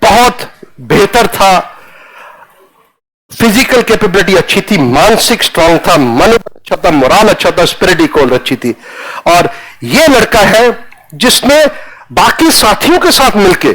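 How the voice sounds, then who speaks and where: A man with a Punjabi accent talks at a high pitch, swinging very widely in pitch while keeping his loudness very even. He leaves long, frequent pauses. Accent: Punjabi-accented Hindi pronunciation. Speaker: retired army general. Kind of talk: lecture. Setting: classroom with students.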